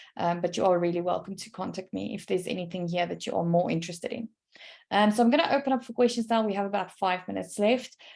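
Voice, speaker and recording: A woman at a very fast pace, her pitch medium and its variation ordinary. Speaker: e-learning trainer. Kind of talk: online training webinar.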